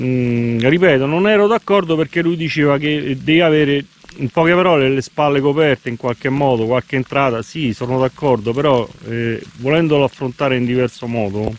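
The voice moves at a moderate pace with ordinary pitch variation, and the sound is dry with no echo. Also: man. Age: 60s. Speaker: camper travel vlogger. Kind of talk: casual vlog monologue. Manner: halting. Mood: reflective, mildly argumentative. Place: forest. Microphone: phone near.

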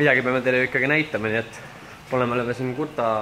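A man is speaking with light background noise behind him. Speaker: travel vlogger. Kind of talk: casual vlog chat. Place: street. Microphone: phone near.

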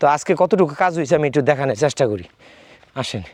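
A man talks with lively intonation. His voice has vocal fry. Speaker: hobby farmer vlogger. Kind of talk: garden tour vlog. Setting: outdoors.

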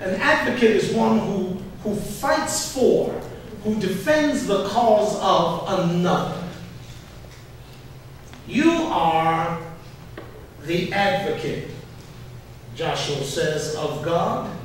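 A man with a high pitch for a man speaks at a very slow pace, his pitch swinging very widely, with long, frequent pauses, strong room echo and light background noise. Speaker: pastor. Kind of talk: sermon. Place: church.

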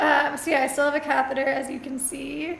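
A woman's high voice at a moderate pace, with audible room echo and light background noise. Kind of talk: casual vlog chat. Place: home room. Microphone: camera far.

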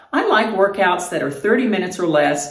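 Room echo is audible as a woman speaks. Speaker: fitness vlogger. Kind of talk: casual vlog chat. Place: home room. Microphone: camera far.

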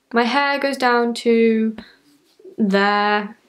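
A woman speaks with a British accent at a fairly high pitch. Her pitch varies in an ordinary way, and the background is quiet. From United Kingdom. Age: young. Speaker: YouTuber. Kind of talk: casual talk to camera. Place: home room. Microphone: camera far.

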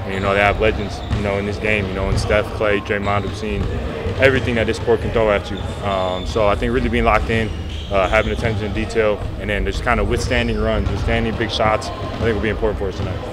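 A man talks at a very fast pace with ordinary pitch variation over loud background noise. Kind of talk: interview answer. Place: hall. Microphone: handheld.

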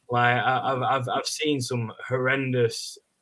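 A man at a medium pitch with an English accent. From England. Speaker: football fan. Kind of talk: casual chat. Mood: frustrated, reflective. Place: home room.

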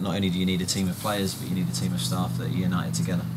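With noticeable background noise behind him, a man with a very deep, low voice talks at a very fast pace. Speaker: football manager. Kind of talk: interview answer. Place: stadium. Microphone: lapel.

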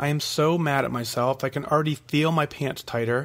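A man with an unremarkable speaking voice, fairly high in pitch, fairly even in intonation, at a moderate pace. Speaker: weight-loss podcast host. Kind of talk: solo podcast, reading and answering listener emails.

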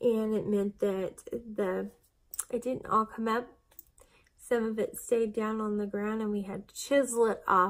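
Against a quiet background, a woman talks at a fairly slow pace with a fairly high pitch. Her intonation is monotone and flat, though her loudness swings widely. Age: 40s. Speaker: vlogger documenting weight loss surgery; weight loss vlogger. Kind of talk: casual vlog monologue. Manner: chatty, with frequent fillers. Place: home room. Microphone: phone near.

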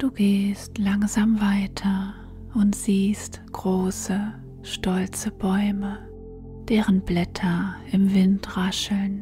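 Soft-spoken and very slow, the voice holds a monotone, flat intonation. Music plays in the background. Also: woman, medium pitch for a woman, very even loudness. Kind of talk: guided sleep meditation. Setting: studio with background music and nature sounds. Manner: soft, gentle, calming.

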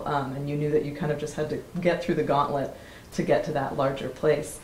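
Amid light background noise and audible room echo, a woman speaks at a very deep, low pitch. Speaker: interviewer. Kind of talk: interview. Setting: workshop retreat. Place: home room.

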